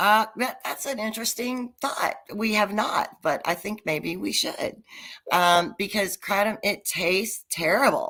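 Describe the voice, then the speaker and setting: A raspy put-on character voice with lively intonation at a fairly slow pace, on a very clean recording with a silent background. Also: woman, medium pitch for a woman. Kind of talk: conversational.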